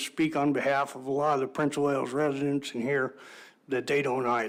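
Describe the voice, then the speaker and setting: A man is talking with a fairly high pitch. His intonation stays fairly even. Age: 60s. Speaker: public testifier, local hunter. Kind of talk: public testimony. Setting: public board meeting. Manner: halting, many fillers.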